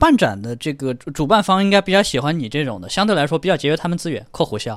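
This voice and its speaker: Lively intonation marks a man's ordinary speaking voice, which sits fairly high in pitch. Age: young. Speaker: audio show visitor and hi-fi enthusiast. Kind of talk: casual chat.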